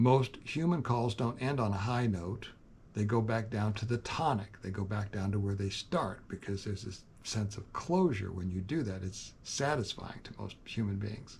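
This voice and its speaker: A man talks at a moderate pace with hardly any pauses. His fairly low, somewhat breathy voice shows ordinary pitch variation. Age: 70s. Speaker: youtuber, farm owner. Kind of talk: casual monologue.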